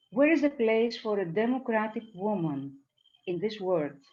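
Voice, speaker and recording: A woman with a Greek accent speaks at a very slow pace, her pitch swinging very widely. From Greece. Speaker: poet. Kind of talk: poetry reading. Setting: video call.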